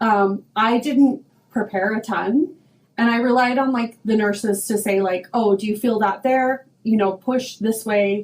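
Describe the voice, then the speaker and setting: At a fairly slow pace, a woman talks in a fairly high pitch. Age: 40s. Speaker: hair stylist and podcaster. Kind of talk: casual chat. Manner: loud; animated.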